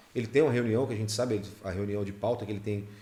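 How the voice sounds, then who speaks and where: Somewhat breathy and medium in pitch, a man talks at a very fast pace. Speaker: radio announcer. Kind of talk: casual chat.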